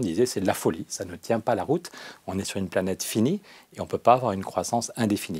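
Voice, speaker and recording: With a fairly low pitch and ordinary pitch variation, a man speaks at a very fast pace. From southwest France (Périgueux); France. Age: 50s. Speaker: agronomist and political activist; interview guest. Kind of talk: interview. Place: studio. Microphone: lapel.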